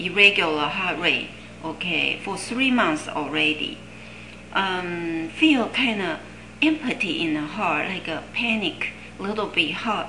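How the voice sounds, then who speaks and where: Over noticeable background noise and audible room echo, a woman with medium pitch speaks at a very slow pace, using lively intonation and long, frequent pauses. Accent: Chinese. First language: Chinese. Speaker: Chinese herbal medicine teacher. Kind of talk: lecture. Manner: halting, many fillers.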